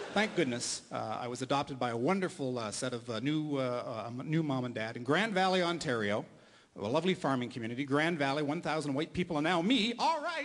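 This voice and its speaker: Here is a man with an unremarkable speaking voice and fairly high pitch. He talks at a fairly quick pace with lively intonation. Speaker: stand-up comedian and radio host. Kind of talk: stand-up comedy set for a live audience.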